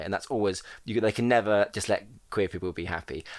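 The speaker has a southern English accent with ordinary pitch variation. The recording is very clean, with a silent background. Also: man. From Portsmouth, southern England. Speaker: drag queen. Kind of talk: casual chat.

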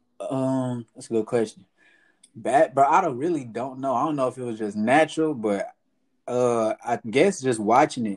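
Recorded very cleanly against a silent background, with a dry, close sound and no echo, a man talks fairly quickly in an unremarkable speaking voice at medium pitch. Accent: American. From Texas, Fort Worth (South Side). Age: 20s. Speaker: basketball player. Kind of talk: casual chat.

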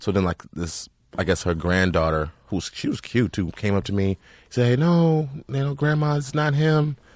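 Using very wide pitch swings at a moderate pace, a man is captured in a very clean recording with a silent background. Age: 40s. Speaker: comedian. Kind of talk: casual chat.

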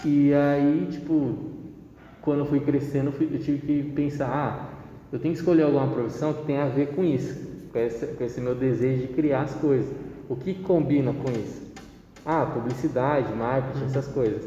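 Fairly high-pitched with fairly even intonation, a man speaks amid noticeable background noise and audible room echo. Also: moderate pace. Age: 20s. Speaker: marketing student. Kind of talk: casual interview.

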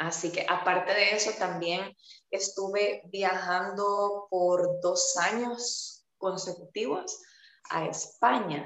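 Very slow speech from a woman at a medium pitch, with fairly even intonation. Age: 30s. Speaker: fitness coach. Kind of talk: interview.

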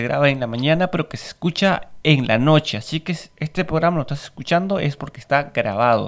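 Over a silent background in a very clean recording, a man talks with lively intonation, big swings in loudness and hardly any pauses. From Peru. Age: 30s. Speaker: podcast host. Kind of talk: casual monologue. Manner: halting.

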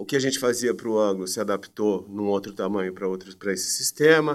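A man talks with ordinary pitch variation. The recording is very clean, and the background is silent. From Brazil, Campinas (São Paulo state). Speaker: education marketing entrepreneur. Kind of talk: interview.

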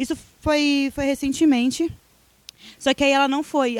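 A woman speaks at a high pitch. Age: 20s. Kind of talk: casual chat.

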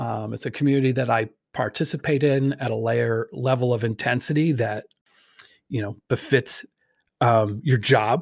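Moderate pace and ordinary pitch variation from a man's somewhat breathy, medium-pitched voice on a very clean recording with a silent background. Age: 40s. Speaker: pastor. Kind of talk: podcast monologue. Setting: home recording at computer. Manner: casual, hesitant.

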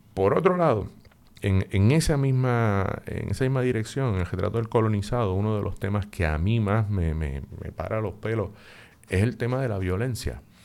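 Here a man uses a normal speaking voice at a fairly low pitch. He talks at a moderate pace with lively intonation. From Puerto Rico. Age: 50s. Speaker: psychologist and professor. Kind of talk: interview.

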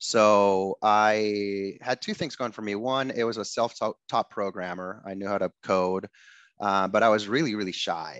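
Speaking in a Spanish accent, a man keeps a moderate pace, a fairly low pitch and fairly even intonation, with a dry, close sound with no echo. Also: quiet background. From Ecuador. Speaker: tech startup founder. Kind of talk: interview.

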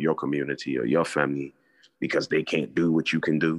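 A man's very deep, low voice with vocal fry, delivered at a very fast pace in a monotone, flat intonation. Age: 40s. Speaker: podcast co-host. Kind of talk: casual chat.

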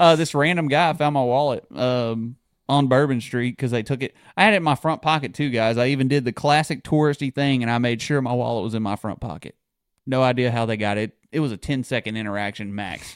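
The speaker is a man with a medium pitch and ordinary pitch variation. He talks at a fairly quick pace. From Texas/Louisiana border region. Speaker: podcast co-host, hospital worker. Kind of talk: casual chat. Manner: laughs often.

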